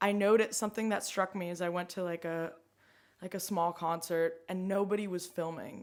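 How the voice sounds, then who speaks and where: A woman with an American accent speaks at a medium pitch. Her pace is fairly quick and her intonation monotone and flat. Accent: sort of American. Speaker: climate activist. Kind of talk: casual chat. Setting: home kitchen. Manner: halting, many fillers.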